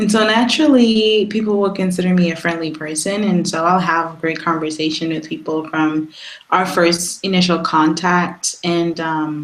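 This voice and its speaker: Over noticeable background noise, a woman with a fairly low pitch speaks with hardly any pauses. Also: ordinary pitch variation, moderate pace. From Trinidad and Tobago. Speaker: photographer and ministry worker. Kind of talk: interview.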